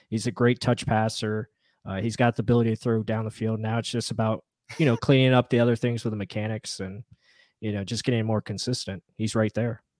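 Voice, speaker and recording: On a very clean recording with a silent background and a dry, close sound with no echo, a man talks at a very fast pace in a medium pitch with monotone, flat intonation. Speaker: podcast host.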